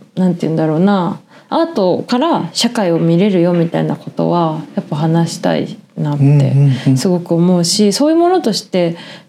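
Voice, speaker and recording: Noticeable background noise behind a woman talking. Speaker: podcast co-host. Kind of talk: casual chat.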